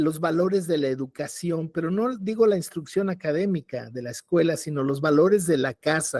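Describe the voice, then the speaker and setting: High-pitched for a man, this speaker has a dark, mellow tone, lively intonation and a fairly quick pace. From Mexico City. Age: 70s. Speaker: cultural commentator. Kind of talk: panel discussion.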